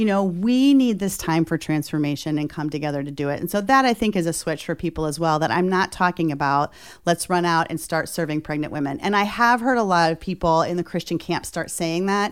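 In a very clean recording with a silent background, a woman with an ordinary speaking voice talks at a fairly quick pace in a fairly low pitch, with hardly any pauses. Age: 50s. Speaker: nonprofit founder and president. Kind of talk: interview. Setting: studio.

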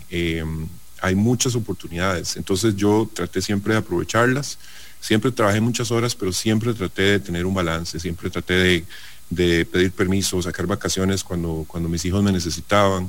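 The man's pitch is very deep and low. He keeps a moderate pace with fairly even intonation. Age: 40s. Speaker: business executive. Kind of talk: radio interview.

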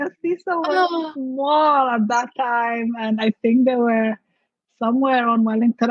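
A woman talks at a moderate pace, her pitch high and varying in an ordinary way. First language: not English. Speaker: mindset coach and entrepreneur. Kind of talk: casual interview.

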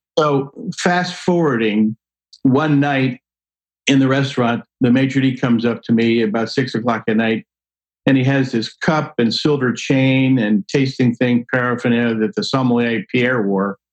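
A man speaks at a moderate pace in a plain, everyday voice, with very even loudness and ordinary pitch variation. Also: medium pitch for a man, dry, close sound with no echo. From New Jersey. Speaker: wine expert and speaker. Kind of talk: casual interview.

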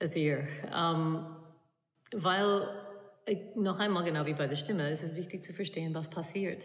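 With a non-native accent, a woman talks at a fairly low pitch with ordinary pitch variation, and audible echo fills the room. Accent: foreign accent in German. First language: English (speaking German). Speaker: opera singer and voice coach. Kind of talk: interview. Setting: music hall at a university.

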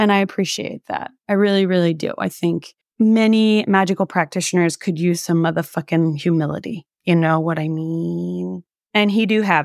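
In an ordinary speaking voice, a woman talks at a moderate pace, fairly low in pitch with ordinary pitch variation. The sound is dry and close with no echo, and the recording is very clean against a silent background. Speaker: podcast host. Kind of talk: casual interview chat. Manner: casual, profane.

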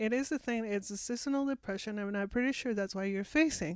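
Fairly high-pitched woman's voice with ordinary pitch variation, dry and close with no echo, on a very clean recording with a silent background. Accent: Mexican. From Mexico. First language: Spanish. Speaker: immigrant sharing her experience. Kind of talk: interview. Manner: halting.

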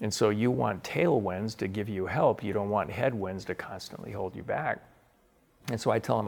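Here a man with an American accent speaks at a fairly quick pace in a fairly low pitch with ordinary pitch variation. It is a plain, everyday voice. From US Pacific Northwest (Spokane, Washington). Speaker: author and entrepreneur. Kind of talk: interview.

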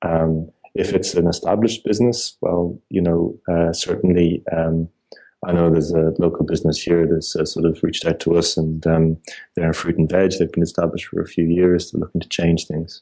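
A man speaks in an Irish accent with a very deep, low pitch. His tone is dark and mellow, his intonation monotone and flat. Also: fairly quick pace. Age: 30s. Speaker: entrepreneur. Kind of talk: casual chat. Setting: phone call. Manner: halting.

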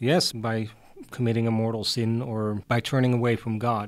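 A man speaks with a Dutch accent. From Netherlands, Hardenberg near German border. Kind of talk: interview.

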